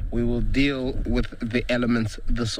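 A man speaks at a very slow pace. The sound is dry with no echo, and there is noticeable background noise. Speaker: safari guide naturalist. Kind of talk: live safari commentary. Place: open country.

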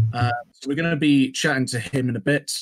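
The man's pitch varies in an ordinary way, and the background is quiet. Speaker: podcast host. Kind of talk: casual podcast intro.

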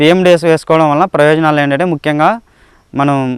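Dry, close male speech with no echo, fairly high in pitch, with fairly even intonation. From Andhra Pradesh, Nandyal district. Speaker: farmer. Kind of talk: testimony. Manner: halting.

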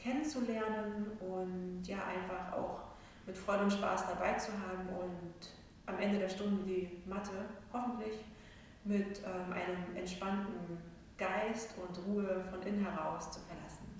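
A woman talks at a fairly slow pace with fairly even intonation. Light background noise and strong room echo are present. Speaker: yoga instructor. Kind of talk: calm class introduction. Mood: calm, soothing. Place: hall. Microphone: camera far.

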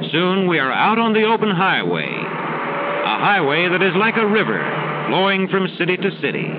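A man with a high-pitched voice talks with hardly any pauses. Loud background noise runs behind him. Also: ordinary pitch variation. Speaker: film narrator. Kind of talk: vintage educational film narration, scripted and read aloud. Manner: formal, measured; bright, cheerful, slow clear teacher-like delivery. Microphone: old recording.

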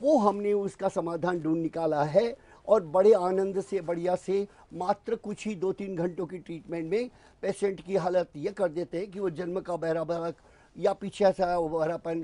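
Speaking at a fairly slow pace, a man has a high pitch, a dark, mellow tone and fairly even intonation. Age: 70s. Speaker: alternative ear-treatment practitioner. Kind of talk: TV interview. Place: studio.

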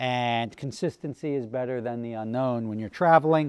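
The background is quiet as a man talks at a moderate pace, using ordinary pitch variation. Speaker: car vlogger. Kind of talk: casual vlog chat. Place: garage.

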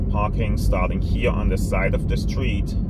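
Loud background noise runs under the speech. The sound is dry, with no echo. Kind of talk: casual tour commentary. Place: car. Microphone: phone near.

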